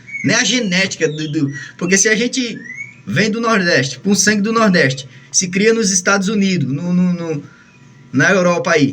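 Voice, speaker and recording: High-pitched man with lively intonation. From Northeast Brazil. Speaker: songbird breeder. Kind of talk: casual monologue. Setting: indoors, bird room at home. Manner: fast.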